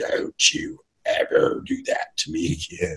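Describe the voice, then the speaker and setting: At a fairly slow pace, someone performs in a put-on character voice. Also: man, extremely high pitch for a man. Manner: menacing.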